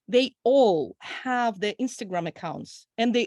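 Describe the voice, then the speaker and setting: Captured in a very clean recording with a silent background and a dry, close sound with no echo, a woman with a Russian accent speaks at a fairly slow pace and fairly high pitch with lively intonation. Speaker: audience member asking questions, PhD student. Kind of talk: Q&A question.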